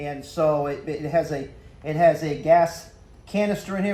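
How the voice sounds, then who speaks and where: A man with a high pitch and fairly even intonation. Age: 60s. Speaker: hunter. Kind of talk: tutorial. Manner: casual, halting with fillers.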